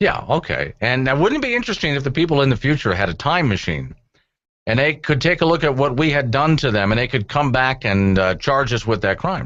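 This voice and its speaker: A man's medium-pitched, fry-edged voice at a fairly quick pace, with lively intonation and very even loudness. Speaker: talk radio host. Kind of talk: talk radio show host banter with callers.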